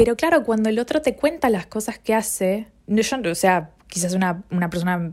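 A woman with a Rioplatense accent speaks at a moderate pace. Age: 20s. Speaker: podcaster. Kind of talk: solo monologue.

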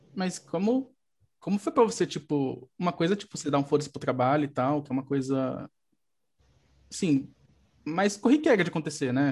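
A man speaks at a fairly quick pace and fairly high pitch, somewhat breathy. His lively intonation comes with big swings in loudness and long, frequent pauses. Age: 30s. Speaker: podcast host, psychologist. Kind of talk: casual chat.

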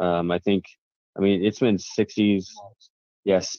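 A man with a Midwestern US accent speaks at a fairly slow pace in a very deep, low pitch with monotone, flat intonation. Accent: US Midwest. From Kansas, Wichita. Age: 20s. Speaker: lawn care business owner and YouTuber. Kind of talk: casual chat.

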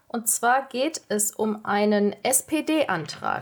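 A woman is talking. She uses ordinary pitch variation. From Lower Rhine, western Germany. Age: 20s. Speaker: trainee journalist. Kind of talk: casual discussion.

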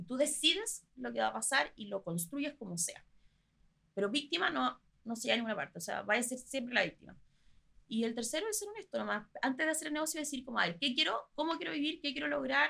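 The speaker talks at a very fast pace with very wide pitch swings and a bright, sharp tone. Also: woman, high pitch for a woman. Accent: Chilean. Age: 20s. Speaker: pastry chef and entrepreneur. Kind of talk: interview.

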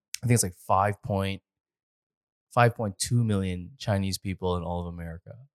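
With a Canadian accent, a man with a fairly low pitch speaks at a moderate pace in an ordinary speaking voice with fairly even intonation, the sound dry and close with no echo on a very clean recording with a silent background. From Canada. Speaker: podcast co-host and business owner. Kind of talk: casual chat. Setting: in-person studio, sitting across from co-hosts. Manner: laughs often.

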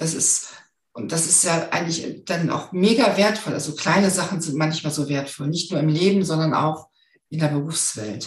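Somewhat breathy, a woman speaks fairly slowly in a fairly low pitch with ordinary pitch variation. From northern Germany. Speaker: finance expert and hypnosis coach. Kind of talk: interview.

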